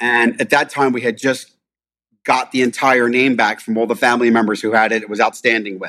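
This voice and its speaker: A man with a Philadelphia accent speaks at medium pitch and a fairly quick pace. His tone is bright and sharp, and his intonation is monotone and flat. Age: 50s. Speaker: restaurant owner. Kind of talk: casual chat.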